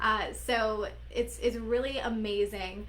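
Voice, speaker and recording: An animated woman talks with audible room echo and noticeable background noise. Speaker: business coach. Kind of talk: live stream talk. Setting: Facebook live video.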